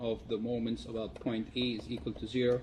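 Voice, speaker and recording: A man talks with fairly even intonation. His voice is somewhat breathy. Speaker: university lecturer. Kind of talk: lecture. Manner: fast.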